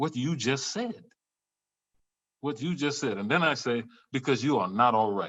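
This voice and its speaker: With an American accent, a man at a medium pitch speaks at a moderate pace with lively intonation and long, frequent pauses. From US South. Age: 60s. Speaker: professor. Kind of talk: panel discussion.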